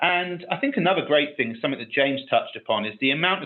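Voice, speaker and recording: A very fast-talking man with a British accent. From UK. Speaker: technical expert on a webinar panel. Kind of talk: webinar panel discussion.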